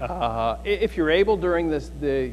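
Light noise sits in the background as a man speaks. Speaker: pastor giving announcements. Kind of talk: church announcements. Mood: relaxed, joking. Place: church. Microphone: lapel.

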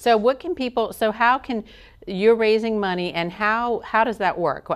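In a quiet background, a woman speaks at a moderate pace with a fairly high pitch and ordinary pitch variation. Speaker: interviewer. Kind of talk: interview question. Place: studio. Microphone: lapel.

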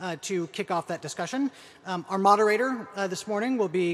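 Light background noise sits behind a man. He talks at a fairly quick pace. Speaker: event host. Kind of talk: event announcements and introduction. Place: hall. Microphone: podium.

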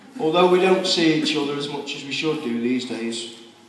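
Audible room echo and light background noise accompany a man's speech. He talks at a moderate pace with fairly even intonation. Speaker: best man. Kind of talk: best man wedding speech. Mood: warm, humorous. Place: hall. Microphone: camera far.

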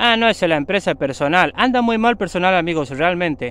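High-pitched and dramatic in tone, a man with an Argentine accent uses lively intonation in a dry sound with no echo. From Argentina. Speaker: YouTuber and mechanic. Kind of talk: ghost story telling, spooky legend told to camera. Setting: outdoors in the woods. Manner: dramatic, hushed suspense with sound effects, repeating 'amigos'; slow, repetitive, conversational. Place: forest. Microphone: phone near.

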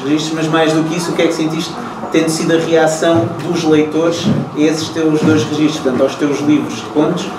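A man hurries along at a fairly quick pace while noticeable background noise continues. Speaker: moderator of literary talk. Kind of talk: interview question. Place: shop. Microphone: camera far.

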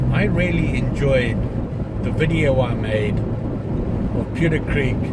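Loud background noise sits behind a man as he speaks. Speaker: vlogger driving. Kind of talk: casual vlog chat. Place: car. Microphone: phone near.

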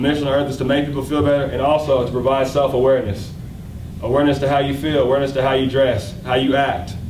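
A man with an American accent talks at a very fast pace, with audible room echo and light background noise. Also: fairly high pitch for a man. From Oklahoma, US. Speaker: fashion designer and brand founder. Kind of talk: speech at launch party. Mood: grateful, upbeat. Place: hall. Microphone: podium.

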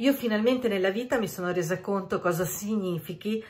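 Lively intonation carries over faint music in the background. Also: woman. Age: 50s. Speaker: beauty consultant. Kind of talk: casual talk to camera. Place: home room. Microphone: phone near.

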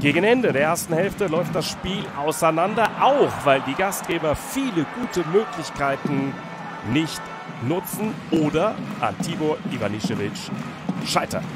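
With music in the background, a man talks at a high pitch, his intonation lively. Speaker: sports commentator. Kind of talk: handball highlights commentary. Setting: studio voice-over. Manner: fluent, measured, matter-of-fact sports-reporter delivery.

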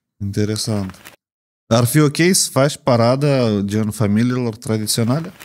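A man's plain, everyday voice at medium pitch, with ordinary pitch variation. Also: fairly slow pace. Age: 30s. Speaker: podcast host. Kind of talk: interview. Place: studio. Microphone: studio mic.

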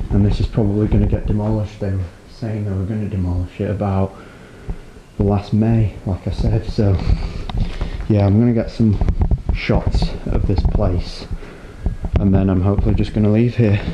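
A man at a moderate pace with long, frequent pauses, over noticeable background noise. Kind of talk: casual vlog narration. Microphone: phone near.

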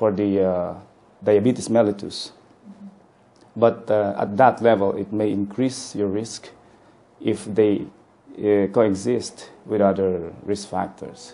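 Long, frequent pauses fill a man's speech. He talks at a very slow pace in a monotone, flat intonation. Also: fairly low pitch for a man. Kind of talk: interview answer. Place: office. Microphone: lapel.

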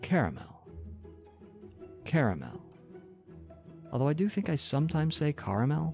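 Soft-spoken and with an American accent, a man talks at a moderate pace with long, frequent pauses while faint music plays in the background. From Northern California. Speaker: ASMR creator. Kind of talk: ASMR accent tag, word list reading. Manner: soft-spoken, relaxing. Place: home room. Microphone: studio mic.

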